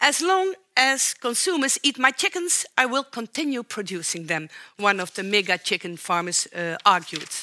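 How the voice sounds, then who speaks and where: At a moderate pace and fairly high pitch, a woman with a Dutch accent speaks in a bright, sharp tone with very wide pitch swings, in a very clean recording with a silent background. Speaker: professor of socio-ecological interactions. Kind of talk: public lecture. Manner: formal.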